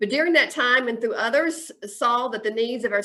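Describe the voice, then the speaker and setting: A woman speaks in a Southern US accent with a fairly high pitch. Her tone is bright and sharp, with ordinary pitch variation. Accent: US South. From Chattanooga, Tennessee. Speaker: mayoral candidate. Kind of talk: interview. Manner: fast.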